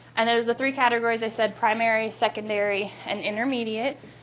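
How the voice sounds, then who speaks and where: Against noticeable background noise, a woman talks at a fairly quick pace with a fairly high pitch. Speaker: guest teacher. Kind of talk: classroom lecture. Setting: classroom. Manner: fast.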